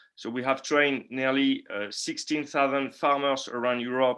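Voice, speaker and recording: Speaking at a moderate pace with a French accent, a man has a fairly high pitch and a bright, sharp tone. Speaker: market analyst. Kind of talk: webinar presentation. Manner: halting, many fillers and repeats.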